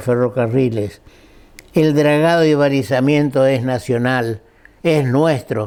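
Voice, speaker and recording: A man at a medium pitch, very slow in pace, with ordinary pitch variation. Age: 80s+. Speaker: lawyer and guest speaker. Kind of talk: talk to an audience. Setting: breakfast event with audience.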